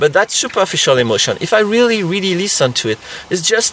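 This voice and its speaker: A man's fairly quick speech with very wide pitch swings against noticeable background noise. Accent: French. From France. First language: French. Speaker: therapist. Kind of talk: tutorial. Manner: halting.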